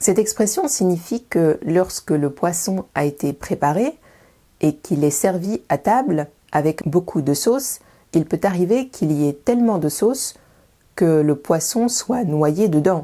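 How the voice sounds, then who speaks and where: A woman's dark, mellow, fairly low voice with lively intonation, fairly slow pace and very even loudness, in a very clean recording with a silent background. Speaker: French language teacher. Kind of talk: educational video. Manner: clear, didactic.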